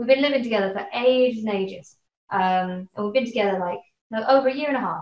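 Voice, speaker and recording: A woman at a very fast pace with audible room echo. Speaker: interview guest. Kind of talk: casual interview. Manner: rambling, filler-heavy. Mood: light, amused anecdote. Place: home room. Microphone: webcam.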